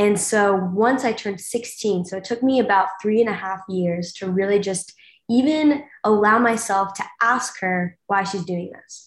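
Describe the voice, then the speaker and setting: Speaking at a fairly slow pace, a woman with a plain, everyday voice keeps a medium pitch and ordinary pitch variation, while her loudness swings widely. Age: 20s. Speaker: university student, reality show cast member. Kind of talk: interview.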